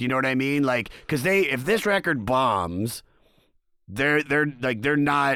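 Speaking at a fairly slow pace, a man uses lively intonation and a bright, sharp tone at very even loudness in a very clean recording with a silent background. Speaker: podcast host and comedian. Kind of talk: casual chat.

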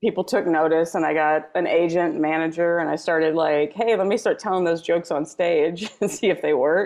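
Speaking at a moderate pace with fairly even intonation, a woman with a plain, everyday voice and a fairly low pitch talks in an American accent. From Texas, near Houston. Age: 40s. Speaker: comedian. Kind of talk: casual chat.

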